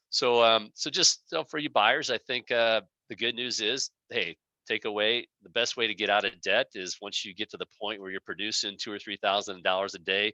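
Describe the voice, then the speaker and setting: With an American accent, a man talks at a medium pitch with ordinary pitch variation, his tone bright and sharp in a dry, close sound with no echo. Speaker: dentist turned practice broker. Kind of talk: vendor presentation. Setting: video call. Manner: fast.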